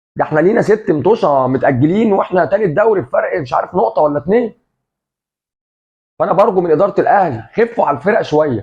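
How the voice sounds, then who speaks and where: With an animated tone and lively intonation, a man rattles off words at a very fast pace in a high pitch, his loudness very even. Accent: Egyptian. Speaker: football commentator, café owner persona. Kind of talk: casual sports commentary monologue.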